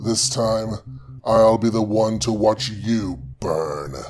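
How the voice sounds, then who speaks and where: A man puts on a character voice at a medium pitch and speaks at a very slow pace. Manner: bitter, manic, menacing.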